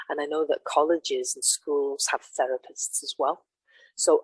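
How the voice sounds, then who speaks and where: Moderate pace in an English accent, dry and close with no echo. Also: woman. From England. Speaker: mentor / workshop co-host. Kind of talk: casual chat.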